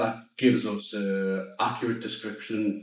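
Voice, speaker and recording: A man's fairly low voice in a Geordie accent, with audible room echo. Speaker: startup founder. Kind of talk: pitch and Q&A.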